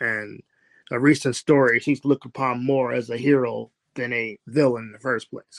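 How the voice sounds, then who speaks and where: A man with a normal speaking voice at a medium pitch, fairly quick, in a dry, close sound with no echo and a quiet background. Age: 30s. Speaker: author. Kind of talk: interview.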